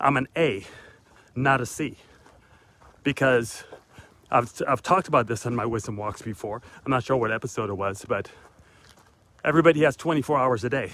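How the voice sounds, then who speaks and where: This man talks at a fairly quick pace, but with long, frequent pauses. His pitch sits in the medium range and varies in an ordinary way. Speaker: motivational vlogger. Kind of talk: motivational talk while walking. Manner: fast.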